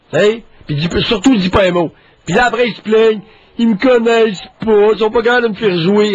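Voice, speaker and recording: Over noticeable background noise, a man speaks at a moderate pace and a high pitch with ordinary pitch variation. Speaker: psychiatrist radio co-host. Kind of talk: call-in talk show. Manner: animated.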